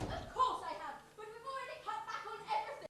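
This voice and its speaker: Doing a put-on character voice, a woman talks squeakily at an extremely high pitch and a very fast pace. Her intonation is lively, her loudness swings widely, and sound effects play in the background. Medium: stage play. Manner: earnest, exasperated.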